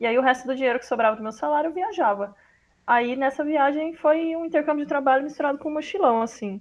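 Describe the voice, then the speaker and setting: Talking at a very fast pace, a woman with a high pitch shows ordinary pitch variation and big swings in loudness. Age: 30s. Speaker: translator. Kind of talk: interview.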